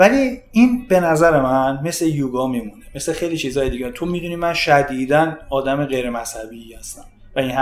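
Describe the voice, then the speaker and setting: A man talks at a moderate pace and a fairly high pitch while music plays in the background. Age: 40s. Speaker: fitness coach and judoka. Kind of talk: casual chat.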